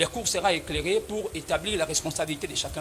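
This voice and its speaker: Very fast talk from a man, noticeable background noise behind him. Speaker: lawyer for the civil party. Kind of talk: courtroom pleading. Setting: courtroom. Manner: formal.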